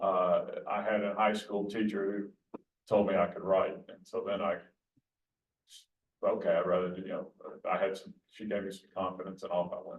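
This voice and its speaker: In an Alabama accent, the speaker moves at a moderate pace, with long, frequent pauses and big swings in loudness. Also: man. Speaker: sportswriter. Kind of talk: Q&A talk. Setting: hybrid event with room audience and Zoom.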